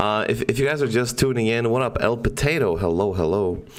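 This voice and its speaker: Audible room echo surrounds a man's voice. He has a medium pitch and lively intonation. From Poland. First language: Polish. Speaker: podcast host. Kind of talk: casual chat. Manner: animated.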